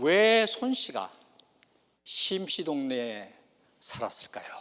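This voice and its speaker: With a Gyeongsang accent, a man talks at a very slow pace, his pitch swinging very widely. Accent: Gyeongsang Korean. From South Korea, Gyeongsang province (rural). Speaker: pastor. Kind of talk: sermon.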